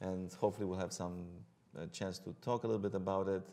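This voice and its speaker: A man speaks with a Romanian accent at a fairly low pitch. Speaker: hematologist-oncologist. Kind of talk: interview. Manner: hesitant, many fillers.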